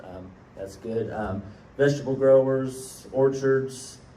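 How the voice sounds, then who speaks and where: A man speaks at a medium pitch. Some room echo can be heard. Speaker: cattle rancher and grazing coalition coordinator. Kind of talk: conference talk. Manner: loud.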